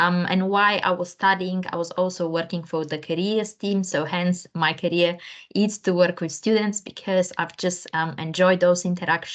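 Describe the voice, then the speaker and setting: A flat, monotone delivery in a non-native accent at a moderate pace with hardly any pauses. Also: woman, fairly low pitch for a woman. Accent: foreign. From Bulgaria. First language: Bulgarian. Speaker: career coach. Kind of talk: panel discussion.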